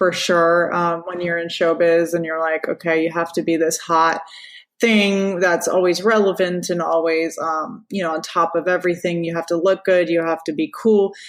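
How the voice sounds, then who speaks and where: A woman with an American accent at a fairly low pitch, moderate pace and monotone, flat intonation. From Florida, US. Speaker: radio personality. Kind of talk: interview. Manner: casual, many fillers.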